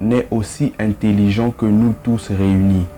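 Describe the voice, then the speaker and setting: Music plays in the background as a man speaks very slowly. His pitch is fairly low and his intonation fairly even. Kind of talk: motivational quote reading.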